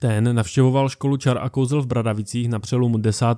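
A man talks at a fairly quick pace with a medium pitch, a dark, mellow tone and fairly even intonation, in a very clean recording with a silent background. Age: 30s. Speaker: podcast host. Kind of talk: scripted narration.

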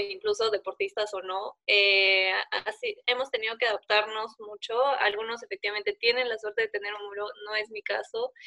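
A woman speaks in an ordinary speaking voice, fairly high in pitch. Her intonation is fairly even and her pace moderate. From Peru. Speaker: competitive sport climber. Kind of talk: interview.

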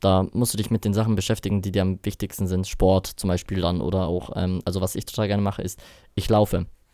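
At a very fast pace, a man delivers his words in a flat monotone, his very deep, low voice dark and mellow. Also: very clean recording, silent background. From Bavaria, Rosenheim. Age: 20s. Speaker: DJ. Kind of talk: casual chat. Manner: hesitant, many fillers.

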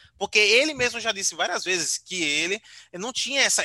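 A man's raised, projected voice, high-pitched with a bright, sharp tone and lively intonation, in a dry, close sound with no echo. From Aracaju, Sergipe, Brazil. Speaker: YouTuber and digital strategist. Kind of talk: casual interview chat.

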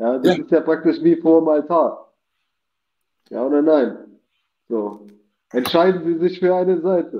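The speech comes at a fairly slow pace with ordinary pitch variation and long, frequent pauses. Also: man, high pitch for a man. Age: 30s. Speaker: guest on live talk show. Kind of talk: casual chat.

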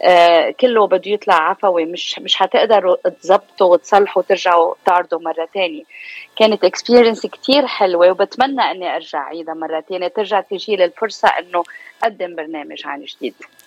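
This woman has a plain, everyday voice at a medium pitch with ordinary pitch variation, talking at a moderate pace. Her loudness swings widely, and the sound is dry and close with no echo. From Lebanon (Beirut), raised in US from age 4. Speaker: media presenter and actress. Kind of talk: radio interview.

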